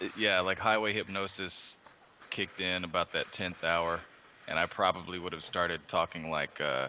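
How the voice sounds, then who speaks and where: Speaking with an American accent, a man uses a very deep, low pitch and fairly even intonation. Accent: slight Texas drawl at times. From Austin, Texas. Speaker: artist. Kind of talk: casual chat. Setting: Skype group call.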